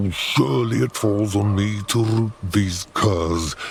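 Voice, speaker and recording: The speaker uses a put-on character voice with a menacing tone. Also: man. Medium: video game. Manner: pompous, ornate, archaic vocabulary; menacing with mocking laughter.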